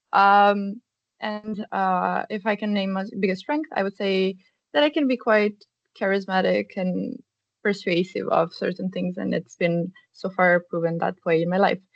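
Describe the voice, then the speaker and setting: A woman with a Serbian accent, medium pitch, ordinary pitch variation and a fairly slow pace, in a dry, close sound with no echo. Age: 20s. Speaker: student career ambassador. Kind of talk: workshop presentation. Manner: hesitant, many fillers.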